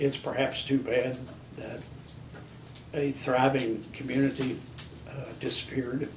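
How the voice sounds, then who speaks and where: A man in an American accent at medium pitch, fairly slow pace and monotone, flat intonation, with long, frequent pauses, big swings in loudness and audible room echo. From Virginia (Harrisonburg), US South. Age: 60s. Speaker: local historian. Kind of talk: interview.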